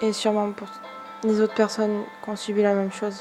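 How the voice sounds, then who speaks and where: A woman's voice with music in the background. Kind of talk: improvised personal spoken-word piece. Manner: earnest, defiant.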